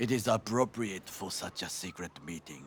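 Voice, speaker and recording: A man's put-on character voice, fairly low in pitch, with lively intonation at a moderate pace. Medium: video game. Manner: formal, stiff, avoids contractions.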